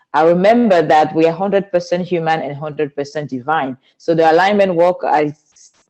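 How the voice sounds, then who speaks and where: With a Cameroonian accent, a woman speaks in a dark, mellow tone at a fairly low pitch, using ordinary pitch variation and hardly any pauses. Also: fairly quick pace. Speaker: spiritual teacher and speaker. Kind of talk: interview.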